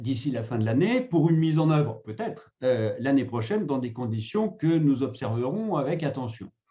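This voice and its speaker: The voice is somewhat breathy, with a dark, mellow tone. Its intonation is lively and its pace moderate. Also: man. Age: 60s. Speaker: retirement negotiation consultant, former HR director. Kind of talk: webinar presentation. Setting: online webinar.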